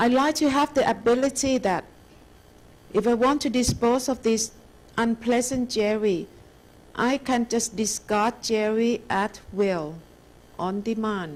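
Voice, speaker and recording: Pausing long and often, a woman with a Thai accent speaks at a fairly slow pace and fairly high pitch, with ordinary pitch variation. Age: 60s. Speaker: meditation teacher. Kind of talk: dharma lecture; guided meditation. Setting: lecture hall with audience.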